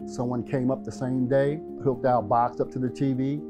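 A man speaks at a fairly quick pace in a medium pitch, with music playing in the background. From Baltimore, Maryland. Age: 60s. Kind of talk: testimonial interview answer.

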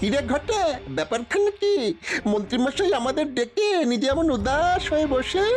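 Faint music plays behind a cartoonish character voice delivered at a moderate pace. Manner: sly, talks in tandem with partner.

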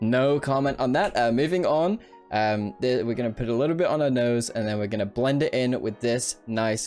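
His delivery moves at a moderate pace, pitched in a medium range for a man with ordinary variation. Music can be heard behind the man. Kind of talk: comedic makeup tutorial voiceover. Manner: joking, casual.

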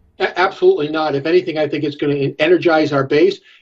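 A man speaks with an American accent and fairly even intonation. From New York. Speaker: political strategist and professor; professor. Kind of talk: political panel discussion. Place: home room. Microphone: video call.

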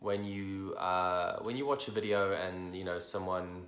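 With audible room echo, a man speaks at a fairly slow pace in a very deep, low pitch. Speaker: IBD coach. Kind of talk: casual talk to camera. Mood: candid, reflective. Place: home room. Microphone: phone near.

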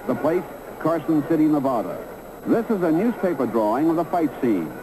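Noticeable background noise sits behind the voice. A man speaks, his intonation lively. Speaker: documentary narrator. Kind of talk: sports documentary narration, scripted voiceover over archive photos and film. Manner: brisk, dramatic, newsreel-style delivery with punchy emphasis on fight action; formal, authoritative storytelling.

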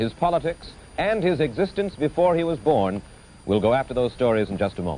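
An American-accented man speaks fairly quickly with very wide pitch swings. Light background noise sits behind him. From United States. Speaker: TV interviewer. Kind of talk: TV program introduction. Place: studio.

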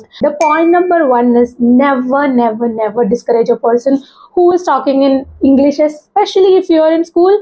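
A high-pitched woman's voice at very even loudness. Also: moderate pace. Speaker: YouTuber giving English speaking tips. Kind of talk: monologue tutorial. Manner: informal, hesitant, self-deprecating. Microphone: lapel.

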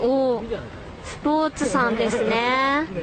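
A woman's voice amid noticeable background noise. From Tokyo. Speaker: voice actor. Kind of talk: radio show listener mail reading. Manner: giggly, loose.

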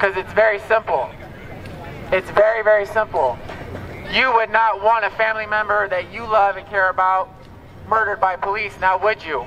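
An American-accented man's raised, projected voice at a high pitch, animated in tone, at a moderate pace with long, frequent pauses, over light background noise. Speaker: rally speaker. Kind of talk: rally speech. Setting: outdoors protest. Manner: animated, emphatic, urgent; repetitive, rhetorical questions to crowd. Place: street.

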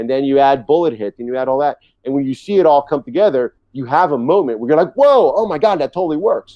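A man with an American accent at a very fast pace, hardly any pauses, and a quiet background. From New York City. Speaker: TV director; TV guest. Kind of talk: interview.

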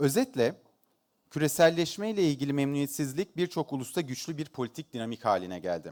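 At a moderate pace, a man speaks with lively intonation and a medium pitch. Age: 40s. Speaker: economist. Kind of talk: conference keynote speech. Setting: stage with audience. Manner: hesitant with frequent filler sounds.

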